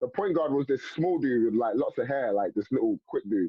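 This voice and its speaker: With a strong London accent, a man talks in an animated tone at a fairly quick pace. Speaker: former basketball player. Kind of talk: casual interview chat. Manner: animated storytelling.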